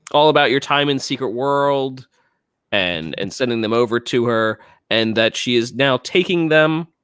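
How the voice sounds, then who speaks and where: On a very clean recording with a silent background, a man speaks at a moderate pace and medium pitch with ordinary pitch variation. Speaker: gaming podcast host. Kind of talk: casual podcast chat. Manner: halting, stumbling while searching.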